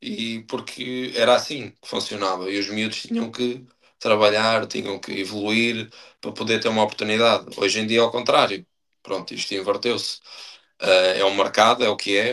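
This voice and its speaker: Monotone, flat intonation from a man at medium pitch, moving at a moderate pace. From Portugal, Estarreja (Aveiro district). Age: 30s. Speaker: professional footballer. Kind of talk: podcast interview. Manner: hesitant, many fillers and repetitions.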